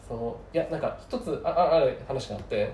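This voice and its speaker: The room echo on this man's voice is audible. He talks at a moderate pace. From Tokyo. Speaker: guest, engineer. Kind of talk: casual chat.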